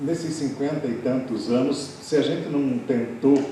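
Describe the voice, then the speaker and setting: Speaking at a fairly slow pace with a medium pitch, a man is heard through audible room echo and noticeable background noise. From southern Brazil, Paraná (Lapa). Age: 70s.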